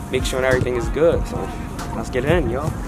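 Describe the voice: A man speaks at a medium pitch over clear music in the background.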